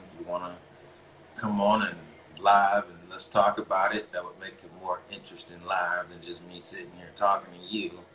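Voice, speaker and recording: A man with an American accent talks at a moderate pace, his loudness swinging widely. Noticeable background noise runs underneath. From US South, North Carolina (Greensboro). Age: 40s. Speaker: relationship coach and live-stream host. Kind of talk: casual live-stream monologue. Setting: Instagram live broadcast. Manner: halting, many fillers.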